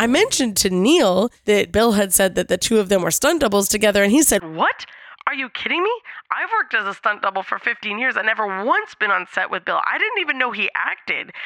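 Animated and playful, the voice moves at a fairly quick pace with lively intonation over noticeable background noise. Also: woman, fairly high pitch for a woman. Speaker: podcast host. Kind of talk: storytelling, dating anecdote monologue. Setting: hotel room in Cancun, recording solo. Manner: animated, humorous, playful.

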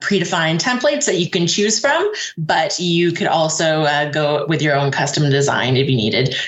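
Noticeable background noise beneath speech of medium tempo. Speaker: payments company gift card specialist. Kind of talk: explanatory interview.

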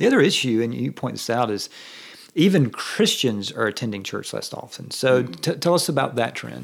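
The pace of this man's speech is fairly quick. He talks with a Southern US accent. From US South. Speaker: pastor and guest interviewer. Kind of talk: casual interview chat. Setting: office.

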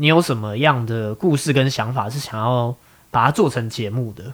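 Here a man of medium pitch talks at a moderate pace in an unremarkable speaking voice. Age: 30s. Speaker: podcast host. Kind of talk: casual chat.

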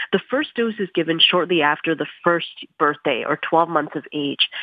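A woman with an unremarkable speaking voice talks at a moderate pace, her pitch fairly low and its variation ordinary. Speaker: physician. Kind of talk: expert interview. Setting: phone line.

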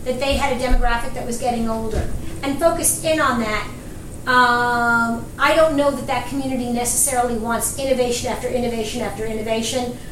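A woman speaks with a New York accent at a fairly quick pace. Noticeable background noise runs behind her. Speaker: marketing podcast co-host. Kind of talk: casual discussion.

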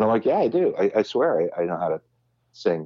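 A man with an American accent at a moderate pace. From Southern California (Huntington Beach, Orange County). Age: 50s. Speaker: musician and voice actor. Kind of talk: casual interview chat. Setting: podcast interview. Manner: halting, many fillers and repetitions.

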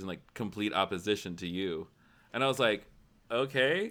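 This man talks at a fairly quick pace with an American accent. His pitch variation is ordinary. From Tennessee, US South. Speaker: life coach and podcaster. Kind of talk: casual interview chat. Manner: animated.

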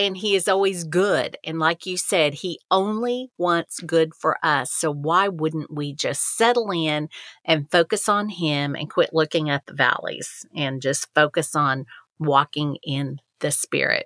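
A woman talks in a normal speaking voice, fairly low in pitch with ordinary pitch variation, at a fairly slow pace. The sound is dry and close, with no echo. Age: 60s. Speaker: podcast co-host. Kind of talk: casual chat.

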